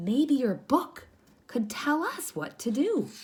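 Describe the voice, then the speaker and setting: A female-sounding, put-on character voice speaks at a fairly slow pace with a high pitch for a woman. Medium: read story. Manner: soft, meek.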